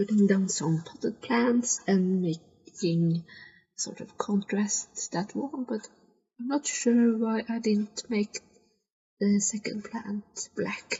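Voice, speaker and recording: A somewhat breathy woman's voice, fairly high in pitch with ordinary pitch variation, in a non-native accent at a very slow pace. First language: not English. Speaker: gaming video creator. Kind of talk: game commentary. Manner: halting, hesitant; sighs a lot.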